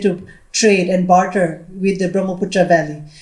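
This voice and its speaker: A somewhat breathy woman at a moderate pace, with audible room echo. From Nagaland, India. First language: Lotha. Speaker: educator, panelist. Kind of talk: panel discussion. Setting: hall with audience. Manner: halting, many fillers and repeats.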